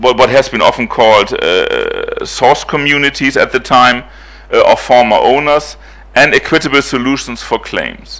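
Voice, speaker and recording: The speaker is a man going at a moderate pace. There is noticeable background noise. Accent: German. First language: German. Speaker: professor. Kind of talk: lecture. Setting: conference hall with audience. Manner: halting, many fillers.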